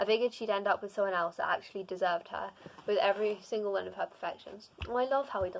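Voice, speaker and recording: A woman speaks at a very fast pace. Her medium-pitched voice keeps fairly even intonation. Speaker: booktuber reading fanfiction. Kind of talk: reading aloud. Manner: halting with frequent self-corrections.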